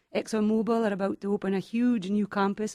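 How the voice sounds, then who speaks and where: A woman with a Scottish accent, medium pitch and dark, mellow tone, on a very clean recording with a silent background and a dry, close sound with no echo. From Scotland, Highlands near Aberdeen. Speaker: real estate agent. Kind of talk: radio talk show interview.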